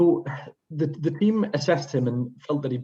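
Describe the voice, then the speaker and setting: A man talks fairly quickly, his tone dark and mellow and his voice somewhat breathy. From northern England, Sunderland/Newcastle area. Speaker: pediatric emergency medicine consultant. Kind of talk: case presentation to an international audience. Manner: hesitant, frequent fillers.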